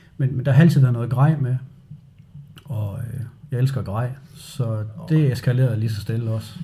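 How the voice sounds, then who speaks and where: In a room with audible echo, a man with a dark, mellow, somewhat breathy medium-pitched voice talks at a moderate pace with fairly even intonation. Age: 40s. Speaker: outdoor enthusiast. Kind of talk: interview. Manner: halting.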